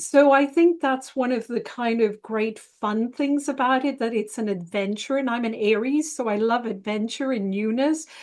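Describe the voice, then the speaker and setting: Speaking with an Irish accent, a woman with a high pitch keeps a moderate pace, leaves hardly any pauses and shows ordinary pitch variation. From Ireland. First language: Italian. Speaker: psychotherapist and relationship astrologer. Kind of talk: interview.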